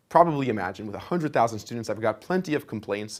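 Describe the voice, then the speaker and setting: On a very clean recording with a silent background, a man speaks at medium pitch with lively intonation. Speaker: online course instructor. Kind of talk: lecture. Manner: fast.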